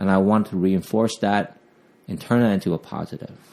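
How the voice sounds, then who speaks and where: A man speaks at a fairly low pitch with a Vietnamese accent. His pace is moderate. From Vietnam, raised partly in Southern California. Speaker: police officer. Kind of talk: interview. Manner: halting, with fillers.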